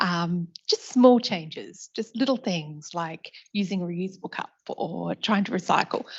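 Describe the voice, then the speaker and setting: Here a woman speaks in an Australian accent. Her pace is fairly slow. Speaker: university sustainability officer. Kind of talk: audience question.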